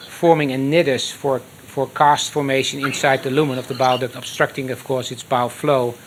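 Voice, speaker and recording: This man talks at a fairly quick pace with hardly any pauses, his medium-pitched voice monotone and flat. Noticeable background noise runs under the recording. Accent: Dutch. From Netherlands, Rotterdam. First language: Dutch. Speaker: transplant surgeon. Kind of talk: lecture.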